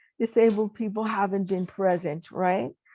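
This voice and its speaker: In an ordinary speaking voice, a woman talks at a fairly slow pace with ordinary pitch variation. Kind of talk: keynote address.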